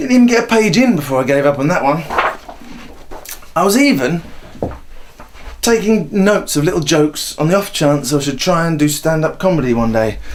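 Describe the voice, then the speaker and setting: A man at a fairly high pitch and fairly quick pace, with very wide pitch swings, long and frequent pauses, and noticeable background noise. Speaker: aspiring stand-up comedian. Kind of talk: documentary voiceover.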